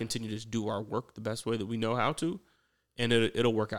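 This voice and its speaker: Speaking fairly quickly in a plain, everyday voice at medium pitch, a man with an American accent is heard in a very clean recording with a silent background. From Atlanta, US South. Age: 30s. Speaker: entrepreneur, former attorney. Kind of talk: casual interview.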